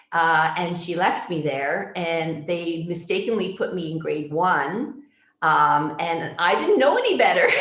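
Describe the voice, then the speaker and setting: Speaking at a fairly slow pace with a Canadian accent, a woman with a fairly low voice uses lively intonation amid audible room echo. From Toronto, Canada. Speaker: public health physician. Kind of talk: interview answers. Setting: video call from home.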